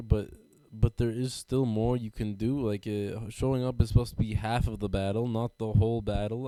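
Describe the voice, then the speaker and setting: Speaking at a fairly quick pace, a man has a medium-pitched voice with a dark, mellow tone. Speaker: comedian and podcast host. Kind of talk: casual podcast monologue. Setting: podcast recording. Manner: halting, stumbling over words.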